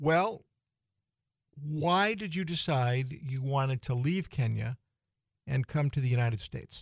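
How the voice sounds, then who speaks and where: A man with an American accent and a somewhat breathy, fairly high voice uses lively intonation at a fairly slow pace with long, frequent pauses. The sound is dry and close with no echo, a very clean recording over a silent background. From US Northeast, Boston area. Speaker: radio host. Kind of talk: radio interview. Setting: studio.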